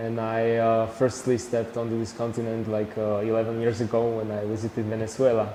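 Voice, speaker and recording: Fairly quick speech in a Slovak accent comes with monotone, flat intonation, audible room echo and noticeable background noise. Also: man. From Slovakia. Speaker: traveller and photographer. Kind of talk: TV interview. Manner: halting.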